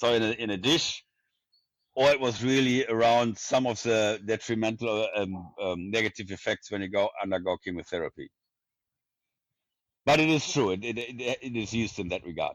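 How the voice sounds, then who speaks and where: A man speaks at a medium pitch and moderate pace. His pitch varies in an ordinary way. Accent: strong German. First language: German. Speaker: neuroscience professor. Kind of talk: interview.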